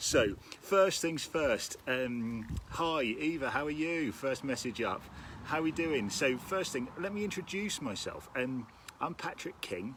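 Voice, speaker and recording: Speaking at a fairly slow pace with a Norfolk accent, a man uses a fairly high pitch and lively intonation. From Norfolk, East Anglia, England. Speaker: orchestral timpanist and rhythm workshop leader. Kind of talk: live-streamed interactive music workshop. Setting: outdoors in a garden, live stream. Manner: upbeat and animated, with frequent fillers.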